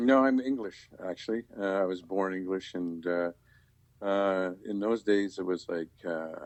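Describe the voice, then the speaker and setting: A man with a very deep, low voice speaks fairly slowly, using ordinary pitch variation. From Quebec, English-speaking. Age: 60s. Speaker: camera operator. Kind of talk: casual chat. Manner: halting.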